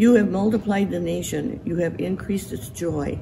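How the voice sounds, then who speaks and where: The pace is moderate. Noticeable background noise sits behind the voice. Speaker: scripture reader. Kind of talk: scripture reading. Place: church.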